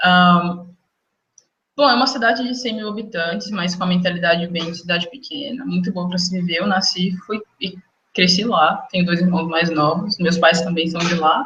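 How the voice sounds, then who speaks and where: With a bright, sharp tone and fairly low pitch, a woman talks at a moderate pace, her pitch varying in an ordinary way. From interior of Minas Gerais, Brazil (near Goiás border). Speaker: medical student. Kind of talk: interview.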